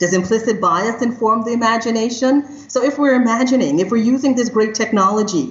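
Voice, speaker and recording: A woman's somewhat breathy, energetic tone with ordinary pitch variation. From Trinidad and Tobago. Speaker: criminologist and AI ethics consultant. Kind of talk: interview conversation.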